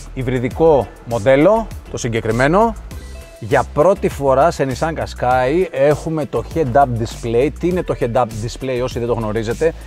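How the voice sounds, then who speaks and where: Faint music plays in the background as a man talks at a fairly slow pace. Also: ordinary pitch variation. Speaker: car reviewer. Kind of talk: product walkthrough commentary. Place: car. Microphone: lapel.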